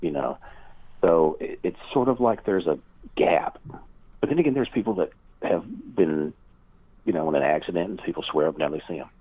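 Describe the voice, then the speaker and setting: Long, frequent pauses break up this man's fairly quick speech, delivered with a Kentucky accent. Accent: Southern US (Kentucky). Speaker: paranormal researcher and author. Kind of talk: interview conversation.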